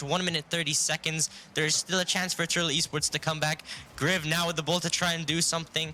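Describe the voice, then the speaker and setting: Over noticeable background noise, a man talks fairly quickly in a high voice. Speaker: esports commentator. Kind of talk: live commentary. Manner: loud; animated.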